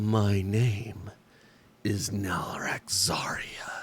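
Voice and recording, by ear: Putting on a character voice, a man speaks at a fairly low pitch with monotone, flat intonation.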